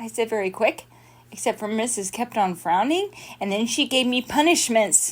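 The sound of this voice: Lively intonation in an unforced voice reading aloud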